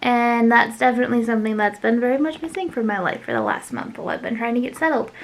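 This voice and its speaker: A woman speaks with ordinary pitch variation. Noticeable background noise runs behind her. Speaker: craft YouTuber. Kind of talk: casual vlog chat. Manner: fast; hesitant, many fillers.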